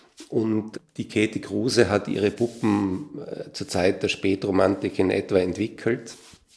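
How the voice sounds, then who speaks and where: A man talks at a fairly slow pace with fairly even intonation. His unremarkable speaking voice sits fairly low in pitch. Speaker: composer and musician. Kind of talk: interview.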